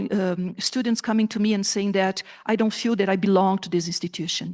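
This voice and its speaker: A woman speaks at a fairly quick pace with a Brazilian Portuguese accent. The background is quiet. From southern Brazil. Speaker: professor. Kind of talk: conference talk. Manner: animated.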